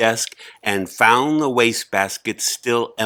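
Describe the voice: Simple, plain reading aloud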